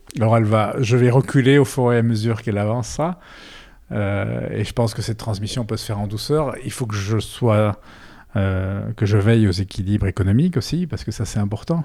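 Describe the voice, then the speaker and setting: Here a man talks at a fairly quick pace in a fairly low pitch. His tone is dark and mellow, with ordinary pitch variation. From Belgium, Brussels area. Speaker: winegrower. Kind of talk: interview. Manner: halting, many repetitions.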